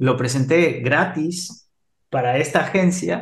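A man speaks at a very slow pace. The room echo is audible. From Ecuador. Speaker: HR expert and entrepreneur. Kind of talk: interview.

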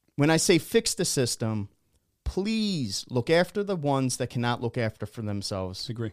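A man's pitch swings very widely on a very clean recording against a silent background. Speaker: combat sports podcast co-host. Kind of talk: casual chat. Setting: studio.

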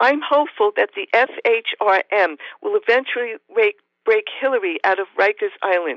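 With an American accent, a woman speaks at a moderate pace in a fairly high voice with lively intonation. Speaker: professor and author of feminist science fiction. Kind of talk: interview, with a reading aloud of her own short story.

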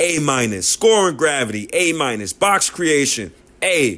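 A man with a New York accent, fairly high-pitched and fairly slow, his pitch swinging very widely. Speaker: sports podcaster. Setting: solo podcast. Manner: loud, heated, emphatic, repeating and stumbling over words as he vents; casual, slangy, direct address to listeners.

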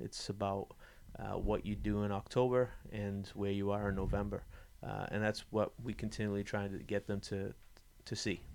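A man with a fairly low pitch speaks in a monotone, flat intonation at a moderate pace. The recording is very clean, with a silent background. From New England. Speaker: college soccer head coach. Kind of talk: interview.

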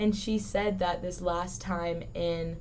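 A woman's fairly low-pitched, monotone, flat delivery with audible room echo. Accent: American. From Southern California. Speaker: college student. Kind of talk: casual chat. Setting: studio.

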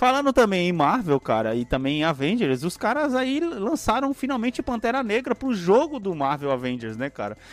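Pitched high for a man, his voice makes very wide pitch swings at a moderate pace, with hardly any pauses. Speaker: podcast co-host. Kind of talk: casual chat. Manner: animated.

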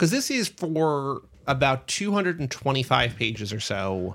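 A normal speaking voice moves at a moderate pace on a very clean recording with a silent background. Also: man. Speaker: podcast co-host. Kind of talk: casual book discussion.

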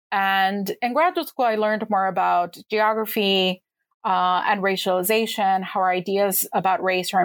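A woman with a Californian accent at a medium pitch, fairly even intonation and a fairly slow pace, in a very clean recording with a silent background. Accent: Californian American. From suburban Los Angeles. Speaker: history professor and author. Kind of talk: interview.

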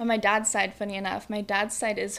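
A woman speaks in a flat monotone. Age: 20s. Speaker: college student. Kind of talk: casual interview chat. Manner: boisterous, loud.

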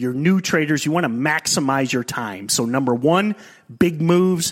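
He has an ordinary speaking voice. The man talks at moderate speed, his intonation lively. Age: 40s. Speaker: trading podcast host. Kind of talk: casual chat.

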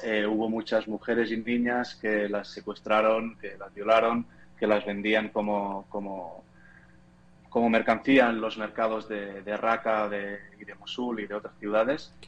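A man speaks at a fairly slow pace in a fairly low pitch. His intonation is monotone and flat, with big swings in loudness. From Spain, near Barcelona (Catalonia). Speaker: photojournalist. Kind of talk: interview. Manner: halting, many repetitions.

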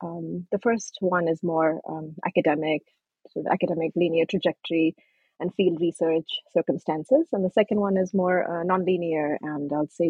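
A woman talks at a moderate pace in a fairly low pitch, with ordinary pitch variation. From born in Nepal, raised from 13 in Kentucky. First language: Nepali. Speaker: anthropologist and author. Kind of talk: interview. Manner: halting, many fillers.

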